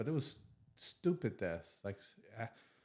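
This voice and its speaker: A man at a moderate pace on a very clean recording with a silent background. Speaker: army veteran. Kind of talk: casual chat. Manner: halting.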